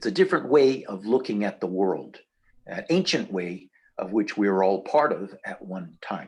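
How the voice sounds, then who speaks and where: Fairly low in pitch, a man talks at a fairly slow pace. His pitch swings very wide. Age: 60s. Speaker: Sun Dance intercessor in Lakota tradition. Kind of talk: interview. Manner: halting, many fillers.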